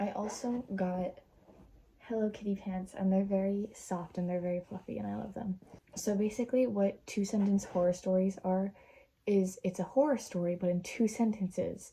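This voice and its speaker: A woman's dark, mellow tone comes through somewhat breathy, with fairly even intonation. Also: medium pitch for a woman, moderate pace. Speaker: vlogger. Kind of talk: casual vlog, reading short stories aloud. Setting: bedroom.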